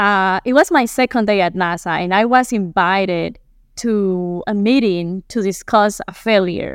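Recorded very cleanly against a silent background, a woman with a Colombian accent speaks fairly slowly at a medium pitch with ordinary pitch variation. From Colombia, Medellin. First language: Spanish. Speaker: aerospace materials engineer. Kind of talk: interview.

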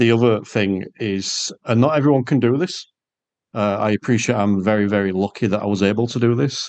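In an English accent, a man talks at a fairly quick pace with ordinary pitch variation, the sound dry and close with no echo. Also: fairly low pitch for a man. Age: 40s. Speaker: podcast host and driving instructor. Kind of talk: casual interview chat; podcast outro. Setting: video call.

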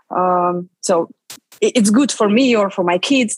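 A woman speaks with a Russian accent. Her voice is fairly high, with ordinary pitch variation. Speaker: film producer and writer. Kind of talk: interview. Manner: halting.

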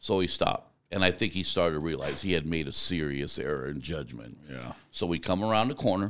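A man with an American accent speaks at a fairly quick pace with hardly any pauses, in a very deep, low voice with vocal fry. His tone is animated and his intonation lively. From US Southwest (Arizona). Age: 50s. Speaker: truck driver and driver trainer. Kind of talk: interview conversation. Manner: animated storyteller.

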